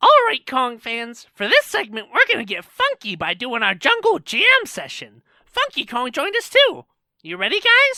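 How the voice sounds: A woman performs a put-on character voice, high-pitched with a bright, sharp tone and very wide pitch swings. She speaks at a fairly slow pace.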